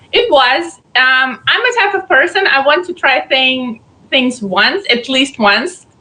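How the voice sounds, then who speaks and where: Speaking at a very slow pace, a woman has a strong Belarusian accent and a high pitch. Her intonation is lively and her loudness very even. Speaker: pageant contestant. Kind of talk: interview.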